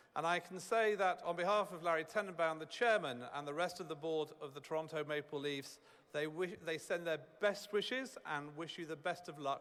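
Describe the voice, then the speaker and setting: A man with a British accent speaks at a fairly quick pace. His pitch is fairly high and varies an ordinary amount. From United Kingdom. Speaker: corporate executive. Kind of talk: ceremonial speech.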